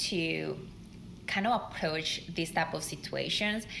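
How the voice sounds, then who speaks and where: A woman talks at a moderate pace, with noticeable background noise and audible echo in the room. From Colombia. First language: Spanish. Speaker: leadership podcast co-host. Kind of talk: podcast conversation.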